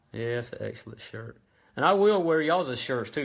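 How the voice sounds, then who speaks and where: A man speaks with a Southern US accent on a very clean recording with a silent background. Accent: Southern US (Georgia). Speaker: small engine parts business owner. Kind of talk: live-stream tutorial. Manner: halting, lots of ums and stutters.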